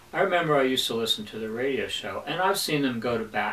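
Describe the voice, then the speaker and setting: Noticeable noise sits under the recording. Over it, a man speaks very fast. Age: 60s. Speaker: self-employed businessman giving testimonial. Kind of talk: scripted testimonial.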